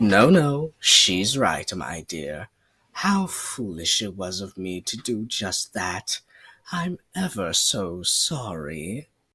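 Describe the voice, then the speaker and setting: In a cartoonish character voice, a man speaks very slowly at a fairly low pitch, with very wide pitch swings and big swings in loudness, in a dry, close sound with no echo. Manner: suave, flirty.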